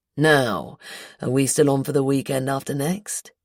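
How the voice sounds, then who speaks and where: A put-on character voice sits at a low-to-middle pitch and moves at a moderate pace. The recording is very clean, with a silent background. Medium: read story. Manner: cool, unruffled.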